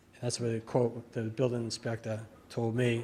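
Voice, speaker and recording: An American man speaks at a fairly quick pace. His pitch is medium. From Massachusetts. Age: 60s. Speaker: local resident speaking at public hearing. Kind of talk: public comment at town meeting. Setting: town board meeting room. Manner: halting, many fillers.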